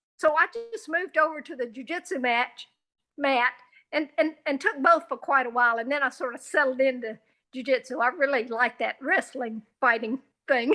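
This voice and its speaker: Projecting her raised, high-pitched voice over a quiet background, a woman speaks with a bright, sharp tone and ordinary pitch variation. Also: moderate pace. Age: 70s. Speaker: jiu jitsu practitioner. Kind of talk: interview.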